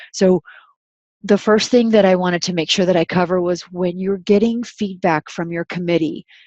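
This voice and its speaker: A woman with an ordinary speaking voice talks at a moderate pace, medium in pitch and fairly even in intonation. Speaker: university research specialist. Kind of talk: webinar lecture. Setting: online webinar.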